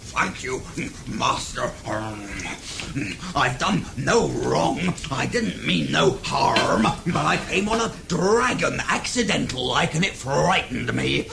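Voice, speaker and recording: Someone puts on a character voice at a fairly slow pace, with long, frequent pauses. Loud noise fills the background. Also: man. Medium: audio drama. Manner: whining, excitable.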